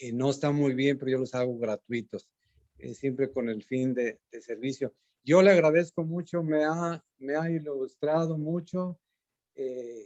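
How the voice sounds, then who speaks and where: A man speaks at a fairly high pitch with a dark, mellow tone and ordinary pitch variation. His pace is fairly slow, and the sound is dry and close with no echo. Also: big swings in loudness. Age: 70s. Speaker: audience member asking a question. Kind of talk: Q&A contribution after a talk. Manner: halting, many fillers.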